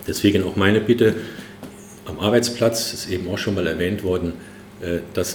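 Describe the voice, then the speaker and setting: Over noticeable background noise and audible room echo, a man speaks at a fairly low pitch with fairly even intonation. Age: 60s. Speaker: trade union chairman. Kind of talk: closing speech. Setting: conference hall with audience. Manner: hesitant with filler sounds.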